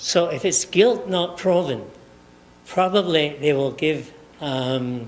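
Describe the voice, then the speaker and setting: In a Scottish accent, a man speaks at a very slow pace with ordinary pitch variation, and audible room echo surrounds him. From Scotland. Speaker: professor. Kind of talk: lecture. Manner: halting.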